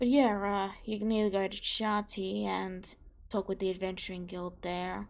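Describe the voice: A woman speaks at a medium pitch and a moderate pace, with vocal fry. Her pitch moves very little.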